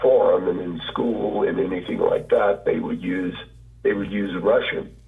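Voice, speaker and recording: Noticeable background noise runs under a man who speaks at a fairly slow pace. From Hawaii. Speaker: linguistics professor. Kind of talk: interview. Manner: halting, many fillers and restarts.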